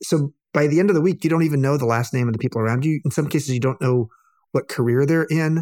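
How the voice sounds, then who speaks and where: This man speaks very rapidly, his pitch varying in an ordinary way. There is no echo, and the sound is dry and close. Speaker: author and hotelier, cancer patient. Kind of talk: casual interview conversation.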